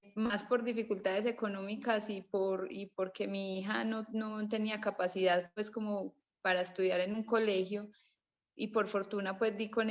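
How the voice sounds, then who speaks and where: Speaking fairly slowly in a monotone, flat intonation, a woman holds a medium pitch. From Colombia. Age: 30s. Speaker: participant in online history class, mother. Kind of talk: casual discussion contribution. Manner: halting, with restarts.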